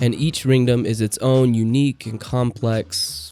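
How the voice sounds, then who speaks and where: A man's fairly even intonation carries over noticeable background noise. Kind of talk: book review talk to camera. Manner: stuttering, uses filler words.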